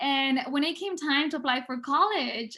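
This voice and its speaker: A woman in a Spanish accent at a moderate pace. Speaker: public health researcher. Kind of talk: prepared speech. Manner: hesitant, many fillers.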